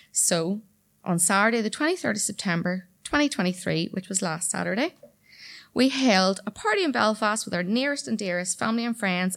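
A woman with a Northern Irish accent, medium pitch and ordinary pitch variation, on a very clean recording with a silent background. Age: 30s. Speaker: storyteller. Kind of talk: storytelling performance. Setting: stage with audience.

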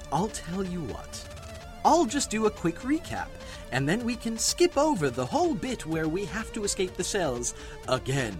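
A man does a shrill, put-on character voice at a moderate pace. Clear music plays in the background. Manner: pompous, self-important storyteller.

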